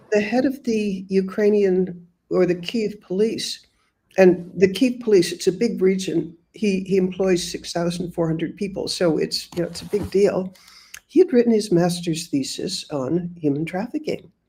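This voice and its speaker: This woman has a dark, mellow tone and is somewhat breathy. She speaks with an American accent and ordinary pitch variation. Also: medium pitch for a woman, moderate pace. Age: 80s+. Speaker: author and humanitarian reporter. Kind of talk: interview.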